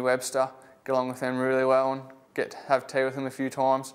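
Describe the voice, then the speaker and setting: A man speaks with a strong Australian accent at a medium pitch. His pace is fairly quick and his intonation is monotone and flat. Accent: broad Australian, country. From Australia, Bacchus Marsh, Victoria. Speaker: AFL rookie footballer. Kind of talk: interview. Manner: casual, laid-back.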